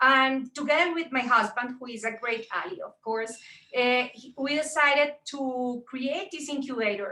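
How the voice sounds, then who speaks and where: A woman with a strong Colombian accent projects a raised, high-pitched voice with a bright, sharp tone, ordinary pitch variation and a moderate pace. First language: Spanish. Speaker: tech entrepreneur and mentor. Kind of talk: panel talk on video call. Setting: video call. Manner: halting with frequent fillers.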